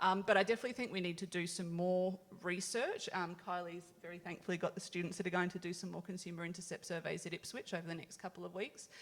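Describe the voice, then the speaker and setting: A woman with an Australian accent, fairly low in pitch, at a very fast pace with fairly even intonation and hardly any pauses. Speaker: health service food program officer. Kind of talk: conference panel discussion.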